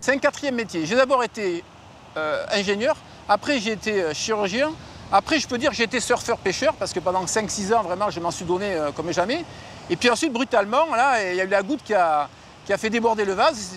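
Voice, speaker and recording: A man talks with a high pitch and lively intonation. His pace is fairly quick. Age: 60s. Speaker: environmental activist. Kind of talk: testimony.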